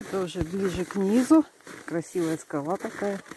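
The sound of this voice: A woman speaks with a fairly low pitch and ordinary pitch variation. Her tone is dark and mellow.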